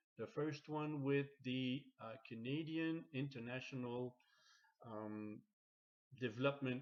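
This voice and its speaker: A man with a Quebec accent speaks at a fairly slow pace in a medium pitch. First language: French. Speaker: logistics course facilitator. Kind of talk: reading aloud. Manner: halting.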